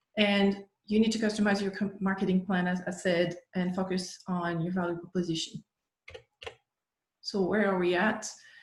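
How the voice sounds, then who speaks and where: A woman at medium pitch talks at a moderate pace with fairly even intonation, and audible room echo surrounds her voice. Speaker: workshop presenter on agricultural marketing. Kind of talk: lecture.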